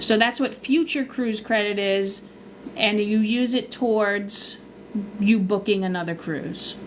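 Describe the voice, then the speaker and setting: A woman talks at a fairly slow pace with a Long Island accent. Her pitch is fairly high, with ordinary variation. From Long Island, New York. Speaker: cruise vlogger and travel agent. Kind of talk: live stream Q&A. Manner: casual, chatty.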